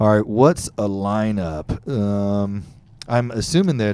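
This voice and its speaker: Very slow delivery in a Texan accent, with a dark, mellow tone and fairly even intonation. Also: man. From Texas, Fort Bend County near Houston. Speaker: podcast host. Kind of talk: casual interview. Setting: studio, live streamed.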